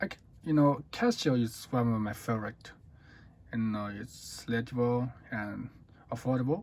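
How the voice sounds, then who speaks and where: A man with a Chinese accent, a medium pitch and ordinary pitch variation, at a moderate pace with long, frequent pauses. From China. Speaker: watch reviewer. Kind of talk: product review. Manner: halting.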